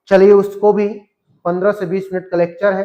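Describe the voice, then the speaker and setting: This is a man speaking at a high pitch. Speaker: physics teacher. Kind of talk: lecture.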